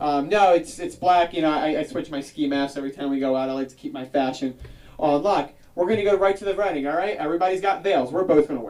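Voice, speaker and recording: A man with lively intonation at a very fast pace, over noticeable background noise. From South Jersey, near Philadelphia. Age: 30s. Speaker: comedian. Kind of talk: stand-up. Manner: animated.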